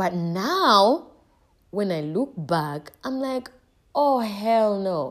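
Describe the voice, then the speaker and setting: A plain, everyday voice. Its intonation is lively. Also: woman. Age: 20s. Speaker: podcast host. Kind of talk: solo podcast monologue. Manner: casual, with frequent laughs.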